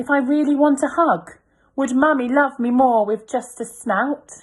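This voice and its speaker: A woman uses a whiny, put-on character voice. It sits high in pitch and moves at a moderate pace. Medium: read story.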